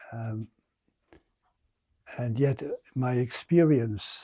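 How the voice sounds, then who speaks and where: A man with an Irish accent speaks at a very slow pace in a dark, mellow, somewhat breathy tone. The recording is very clean, with a silent background. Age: 70s. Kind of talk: homily. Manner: halting.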